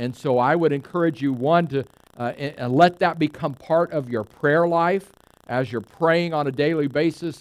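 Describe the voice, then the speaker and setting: This man speaks at a moderate pace. His pitch is fairly high, with ordinary pitch variation. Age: 50s. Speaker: pastor. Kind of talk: sermon. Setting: church. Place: church.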